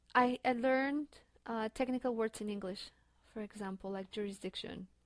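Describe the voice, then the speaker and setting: The sound is dry and close with no echo as a woman with a Spanish accent speaks in fairly even intonation. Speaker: graduate student. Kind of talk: interview. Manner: halting.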